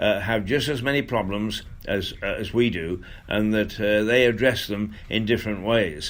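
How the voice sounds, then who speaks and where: At a moderate pace, a man talks in an English accent. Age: 70s. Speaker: radio host. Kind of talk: casual monologue. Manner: halting.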